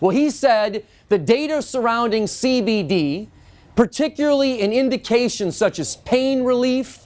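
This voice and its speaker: On a very clean recording with a silent background, a man with an extremely high pitch speaks loudly at a fairly slow pace, animated in tone and with ordinary pitch variation. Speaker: industry educator giving a lecture. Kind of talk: lecture. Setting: in-store talk with live audience.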